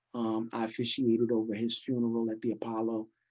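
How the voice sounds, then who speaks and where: Against a quiet background, a man with a New York accent talks at a medium pitch in a flat, monotone way. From New York City (Brooklyn and Queens). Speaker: pastor and former hip hop hype man. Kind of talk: casual interview.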